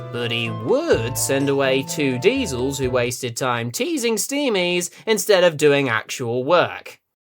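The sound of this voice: Over faint background music, a man does a cartoonish character voice at a fairly high pitch and a fairly slow pace.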